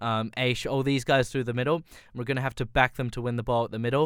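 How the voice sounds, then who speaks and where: A man with an Australian accent speaks at a medium pitch. His intonation is flat and monotone. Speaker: football podcast host. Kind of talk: casual chat about football, fan analysis. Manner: conversational, analytical, tactical.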